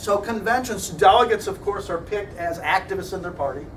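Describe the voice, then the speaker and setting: A man with a Midwestern American accent talks at a fairly quick pace, with noticeable background noise and audible room echo. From US Midwest. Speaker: political science lecturer. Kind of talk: lecture. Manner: fast.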